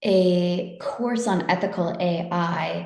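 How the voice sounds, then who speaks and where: A woman with an American accent has an unremarkable speaking voice. Her pitch is fairly low and varies in an ordinary way. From United States. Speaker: international partnerships manager. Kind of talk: interview answer.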